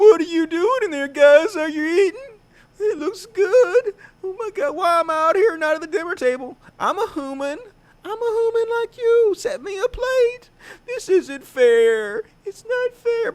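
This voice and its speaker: Putting on a character voice, a man speaks with an extremely high pitch at a moderate pace. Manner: silly, whining.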